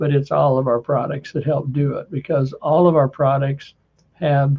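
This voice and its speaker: A man speaks with a fairly high pitch and a somewhat breathy quality. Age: 70s. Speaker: wellness product seller and show host. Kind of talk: casual chat; sales pitch. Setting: expo booth.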